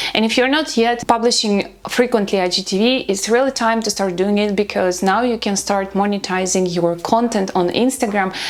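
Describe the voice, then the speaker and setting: A woman with a non-native accent speaks at a moderate pace, hardly pausing, at medium pitch with ordinary pitch variation. Her loudness stays very even over noticeable background noise. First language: not English. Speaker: social media content creator. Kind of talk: tutorial.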